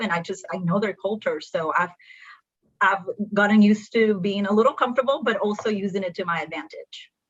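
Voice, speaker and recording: A woman with a Spanish accent talks at a fairly quick pace. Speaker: accountant. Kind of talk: panel discussion.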